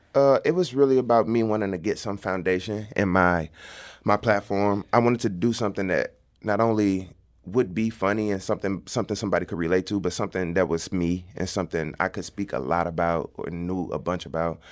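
A man with a St. Louis accent at a fairly quick pace, fairly low in pitch with ordinary pitch variation, on a very clean recording with a silent background. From St. Louis, North City. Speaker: comedian and content creator. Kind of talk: casual interview.

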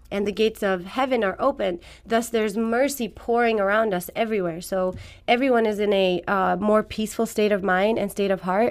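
Speaking fairly quickly in a very clean recording with a silent background, a woman with an Iranian accent keeps a medium pitch, fairly even intonation and very even loudness. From Afghanistan. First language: Farsi. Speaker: fitness trainer. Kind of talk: radio interview. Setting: studio.

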